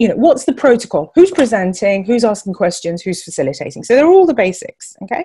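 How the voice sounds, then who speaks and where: Speaking very fast with hardly any pauses, a woman with a fairly high, dark, mellow voice swings her pitch very widely. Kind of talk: webinar talk.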